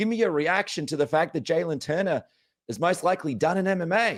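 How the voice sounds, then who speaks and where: Lively intonation comes through at a moderate pace on a very clean recording with a silent background. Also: man. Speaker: MMA podcast host. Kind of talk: podcast interview talk.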